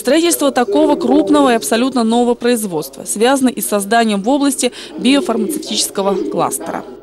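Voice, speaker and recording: Fairly quick delivery at very even loudness, with very wide pitch swings over noticeable background noise. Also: woman, fairly high pitch for a woman. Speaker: TV news reporter. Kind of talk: news report narration.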